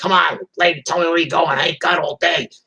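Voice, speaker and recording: In a put-on character voice, the speaker sounds raspy at a middle pitch and keeps a fairly quick pace. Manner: impatient, gruff.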